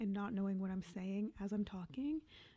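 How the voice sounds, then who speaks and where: Soft-spoken and somewhat breathy, a woman talks at medium pitch and a moderate pace in a dark, mellow tone with ordinary pitch variation. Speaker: Sims speed build YouTuber. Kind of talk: casual voiceover commentary. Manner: quiet, soft-spoken.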